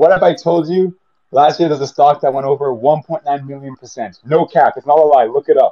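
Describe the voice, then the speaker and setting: A man talks at a fairly quick pace in a fairly high pitch. His loudness swings widely, while his pitch varies in an ordinary way. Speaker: audience member, trader. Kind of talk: heated debate. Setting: live audio space, recorded online. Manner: animated.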